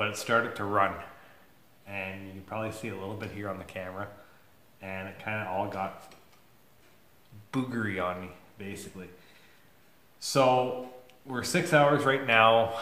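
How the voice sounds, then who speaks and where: A man's fairly low, bright and sharp voice at a moderate pace, with ordinary pitch variation, long and frequent pauses, and audible room echo. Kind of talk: casual vlog chat. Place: workshop. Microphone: phone near.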